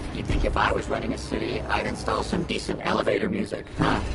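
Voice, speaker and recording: A man's put-on character voice at a very fast pace over loud background noise. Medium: machinima. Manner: sarcastic, quick.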